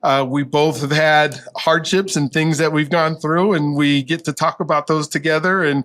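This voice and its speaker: An unremarkable speaking voice moves at a moderate pace with hardly any pauses. The intonation is fairly even and the loudness very even. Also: man, fairly high pitch for a man. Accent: American. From Colorado, US. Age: 60s. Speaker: professor. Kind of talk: interview.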